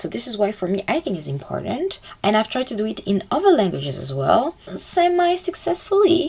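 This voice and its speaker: Over noticeable background noise, a woman with a slight French accent speaks at a fairly quick pace with a fairly high pitch and very wide pitch swings. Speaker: language-learning YouTuber. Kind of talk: casual vlog talk. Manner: casual, filler-heavy with self-corrections.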